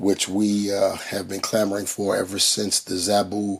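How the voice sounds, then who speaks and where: A man at a fairly slow pace and fairly low pitch. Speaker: toy collector reviewer. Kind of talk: product review. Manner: hesitant with many fillers.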